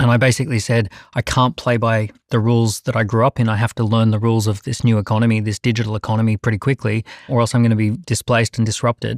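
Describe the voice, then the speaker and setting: In an Australian accent, a man speaks at a very fast pace with monotone, flat intonation and very even loudness, the sound dry and close with no echo. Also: medium pitch for a man, very clean recording, silent background. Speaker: entrepreneur. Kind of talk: panel debate.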